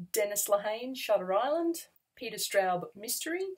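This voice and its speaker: With lively intonation, a woman talks at a moderate pace against a quiet background. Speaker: book vlogger. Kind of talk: casual vlog chat. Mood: cheerful, enthusiastic. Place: home room.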